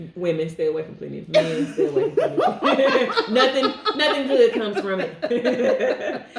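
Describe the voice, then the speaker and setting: Speaking at a moderate pace with hardly any pauses, a woman with an American accent shows big swings in loudness over noticeable background noise. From St Louis, Missouri. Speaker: podcast co-host. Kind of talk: casual chat.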